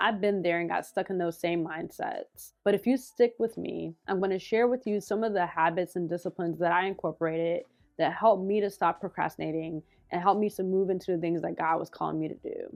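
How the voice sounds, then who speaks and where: A woman mumbles at a fairly quick pace with fairly even intonation. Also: medium pitch for a woman. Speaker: faith-based content creator. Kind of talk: motivational talk to camera. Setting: on camera, video recording. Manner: fast, tends to mumble.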